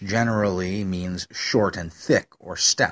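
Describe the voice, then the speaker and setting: A man with an American accent speaks at a fairly slow pace in a bright, sharp tone, the sound dry and close with no echo. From US, Western New York. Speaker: book reviewer, podcaster and storyteller. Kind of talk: book review monologue. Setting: home recording, no studio. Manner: halting, many fillers (uh, um).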